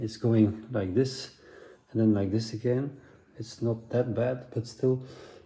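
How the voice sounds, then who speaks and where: With a dark, mellow tone and a somewhat breathy quality, a man speaks at a medium pitch and moderate pace with fairly even intonation. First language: Dutch. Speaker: motorcycle builder. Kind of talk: DIY tutorial talk to camera. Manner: hesitant, casual.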